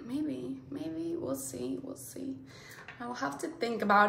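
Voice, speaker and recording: There is audible room echo as a woman speaks with very wide pitch swings. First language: Spanish. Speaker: beauty YouTuber. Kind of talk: casual unboxing vlog. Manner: animated. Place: home room. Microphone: phone near.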